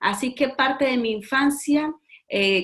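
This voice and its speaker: Ordinary pitch variation from a female speaker. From Colombia, Medellín. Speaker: author giving life testimony. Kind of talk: testimony. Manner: halting, many fillers.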